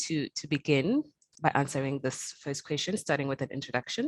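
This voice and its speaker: Very deep and low in pitch, a woman's voice comes across in a dry, close sound with no echo. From South Africa. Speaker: panel host, platform editor. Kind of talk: panel discussion.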